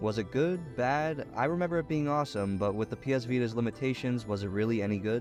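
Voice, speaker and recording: Music plays in the background as a man talks at a very fast pace with hardly any pauses. His medium-pitched voice holds a very even loudness and ordinary pitch variation. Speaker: gaming video reviewer. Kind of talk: retrospective game review narration. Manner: sarcastic, profane humor.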